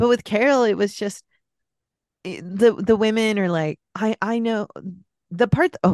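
With an American accent, a woman talks at a moderate pace and a fairly high pitch, with ordinary pitch variation and long, frequent pauses. The sound is dry and close, with no echo. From US West Coast, San Francisco Bay Area. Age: 40s. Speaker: podcast guest. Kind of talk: casual chat.

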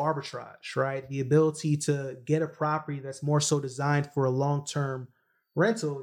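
A man with an American accent, an unremarkable speaking voice and fairly high pitch, at a moderate pace, on a very clean recording with a silent background. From Brooklyn, New York, from a Jamaican family. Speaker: real estate entrepreneur. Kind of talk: interview.

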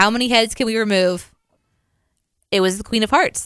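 With a Midwestern American accent, a woman speaks at a moderate pace in a fairly high pitch. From US Midwest. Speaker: podcast co-host. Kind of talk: casual chat.

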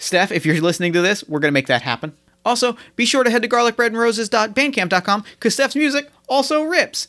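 An American-accented man projects his raised voice at an extremely high pitch and a very fast pace. His tone is bright and sharp, his pitch swings very widely, and his loudness stays very even. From US Midwest, mid-Ohio. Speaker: podcast host and game master. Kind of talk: actual play role-playing game.

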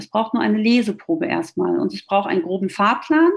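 A woman with a fairly high voice speaks with lively intonation and vocal fry. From Ruhr area, Germany. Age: 40s. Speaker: author and flight attendant. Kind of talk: interview.

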